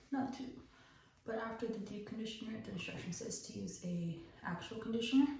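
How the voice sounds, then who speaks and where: A woman whispers at a moderate pace. Audible room echo and noticeable background noise surround her. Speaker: vlogger. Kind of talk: casual chat. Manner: animated; whispering.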